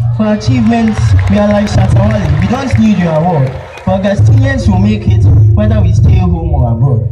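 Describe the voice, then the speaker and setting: A man speaks rather quickly while loud noise fills the background. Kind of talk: spoken word poetry performance at a school speech day. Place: stage. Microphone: pa.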